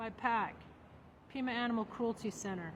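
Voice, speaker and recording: A woman speaks at a high pitch with ordinary variation. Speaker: political candidate and comedian. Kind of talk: reading aloud a legal document; casual vlog. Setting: law library. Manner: soft-spoken.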